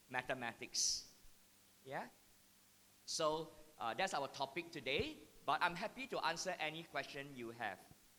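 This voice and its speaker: A man talks loudly at a moderate pace in a fairly high pitch. His tone is bright and sharp. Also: long, frequent pauses. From Singapore. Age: 50s. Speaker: mathematics educator. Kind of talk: talk to parents and teachers.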